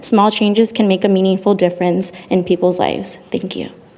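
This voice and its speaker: Over noticeable background noise, a woman at a medium pitch speaks at a fairly quick pace. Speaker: public commenter, social work student. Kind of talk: prepared public comment. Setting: city council meeting.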